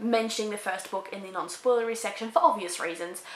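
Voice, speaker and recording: With noticeable background noise and audible room echo, a woman with an Australian accent speaks at a fairly high pitch with ordinary pitch variation. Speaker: book reviewer. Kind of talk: casual review. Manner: animated.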